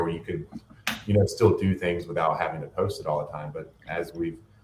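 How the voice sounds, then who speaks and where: Noticeable background noise is present throughout. Over it, a man speaks very fast. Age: 30s. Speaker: podcast host and bodybuilding coach. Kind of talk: casual interview chat. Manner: casual with many filler words.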